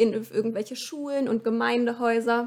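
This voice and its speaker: An ordinary speaking voice from a woman, fairly high in pitch, with fairly even intonation. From Lower Saxony, Hannover area. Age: 20s. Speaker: scout camp organiser. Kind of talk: podcast interview.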